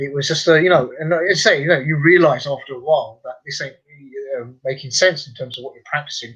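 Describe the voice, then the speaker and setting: A man in a London accent, fairly high-pitched, at a very fast pace, with ordinary pitch variation and big swings in loudness. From London, England. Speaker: convert and tour guide. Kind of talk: radio interview. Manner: hesitant, many fillers.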